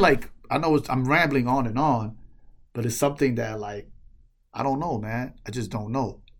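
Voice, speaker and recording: The tone is animated and the pace moderate. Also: man. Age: 40s. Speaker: solo podcast host. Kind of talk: casual solo monologue. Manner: animated, repetitive false starts.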